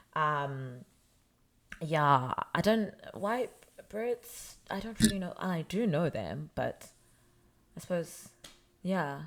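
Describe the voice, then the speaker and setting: A woman speaks very slowly in a fairly low voice, her pitch swinging very widely. She pauses often and at length. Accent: African. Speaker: podcast co-host. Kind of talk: casual chat. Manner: animated.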